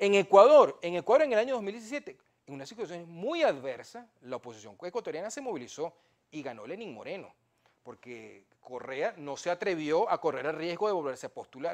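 A man at a high pitch and moderate pace, with very wide pitch swings and big swings in loudness over a quiet background. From Venezuela. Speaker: historian and professor; professor. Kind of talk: political interview. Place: studio. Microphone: lapel.

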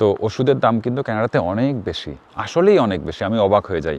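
A man speaks with vocal fry in a dry, close sound with no echo. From Bangladesh. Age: 40s. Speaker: YouTuber vlogger. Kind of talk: vlog monologue. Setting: outdoors in snow.

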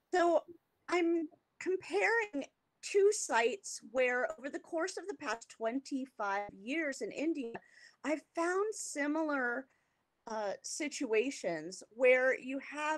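A woman speaks in a high voice with an American accent, very slowly. Her pitch swings very widely against a quiet background. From US West Coast, California. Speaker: art historian; guest lecturer. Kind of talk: lecture. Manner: hesitant, many fillers. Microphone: video call.

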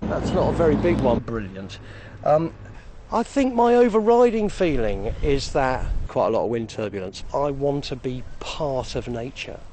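Over noticeable background noise, a man speaks at a fairly high pitch and moderate pace with very wide pitch swings, the sound dry with no echo. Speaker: TV presenter. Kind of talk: travel show presenting. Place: open country. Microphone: lapel.

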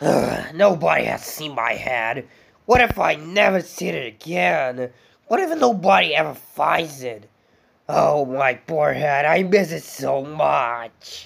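A man with a fairly high voice. He talks at a fairly slow pace. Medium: fan dub. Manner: polite, then mournful, then furious.

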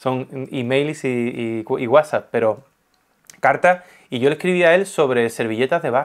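A man talks at a moderate pace. His pitch varies in an ordinary way against a quiet background. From Spain. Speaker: art youtuber and painter; art youtuber. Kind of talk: casual interview chat. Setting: guest's home. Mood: animated, warm. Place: home room. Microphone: lapel.

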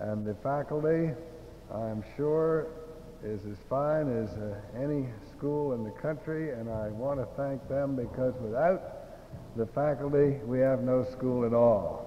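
A man at a very slow pace, relaxed in tone, with ordinary pitch variation and light background noise. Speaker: president of board of trustees; speaker. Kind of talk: casual, self-deprecating speech; formal ceremonial speech. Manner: relaxed, folksy, hesitant with fillers. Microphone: old recording.

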